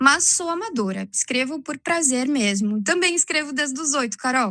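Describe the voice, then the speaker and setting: A woman speaks at a moderate pace in a high pitch for a woman. Her voice is raised and projected, with lively intonation. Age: 30s. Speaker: art teacher and amateur poet. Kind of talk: casual chat. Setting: video call.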